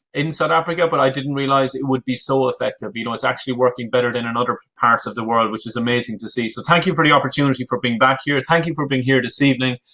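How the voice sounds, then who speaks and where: In an Irish accent, a man talks at a very fast pace with a bright, sharp tone. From Ireland. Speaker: business coach. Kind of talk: webinar presentation. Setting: live online webinar.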